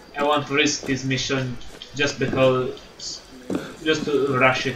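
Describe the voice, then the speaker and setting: A man with a non-native accent speaks at a fairly slow pace in a monotone, flat intonation, with noticeable background noise behind him. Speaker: gaming YouTuber. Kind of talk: gameplay commentary. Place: home room.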